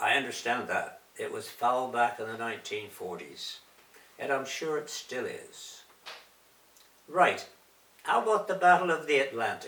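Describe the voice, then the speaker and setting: A man at a fairly slow pace with long, frequent pauses and big swings in loudness, amid audible room echo and noticeable background noise. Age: 90s. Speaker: war veteran. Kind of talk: reading aloud.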